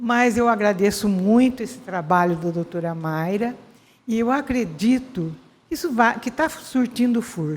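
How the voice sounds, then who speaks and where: Lively intonation marks this woman's very slow delivery. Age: 80s+. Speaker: retired educator. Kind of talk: ceremony speech.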